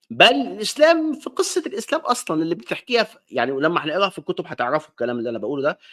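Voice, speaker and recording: A man with an Alexandrian accent at a very fast pace, in a very clean recording with a silent background and a dry, close sound with no echo. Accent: Egyptian Arabic, Alexandrian. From Egypt, Alexandria. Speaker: online talk show host. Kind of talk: monologue lecture. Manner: casual, conversational.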